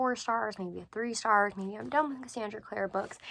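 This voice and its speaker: The woman is soft-spoken, with a fairly high pitch. Her tone is bright and sharp. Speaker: book vlogger. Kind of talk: casual chat. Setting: bedroom at night.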